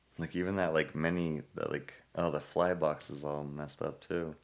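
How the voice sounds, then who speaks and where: The man's pitch is very deep and low. He talks at a moderate pace with monotone, flat intonation. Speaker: podcast guest.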